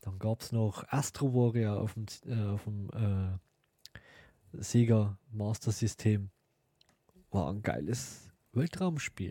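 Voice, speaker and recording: Very slow and somewhat breathy, this dark, mellow voice has ordinary pitch variation and long, frequent pauses, recorded dry and close with no echo on a very clean, silent background. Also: man, fairly low pitch for a man. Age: 40s. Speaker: podcast host. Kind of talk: casual monologue.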